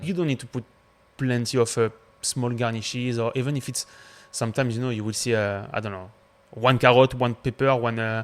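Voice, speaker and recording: A man talks at a fairly quick pace and medium pitch. His intonation stays fairly even. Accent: French. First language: French. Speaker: chef. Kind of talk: casual chat.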